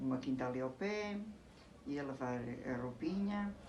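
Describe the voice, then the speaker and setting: A woman at a fairly slow pace with ordinary pitch variation, with audible room echo and noticeable background noise. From Portugal, Alentejo (Elvas). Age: 70s. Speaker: interviewee recalling her past. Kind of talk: casual interview. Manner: halting.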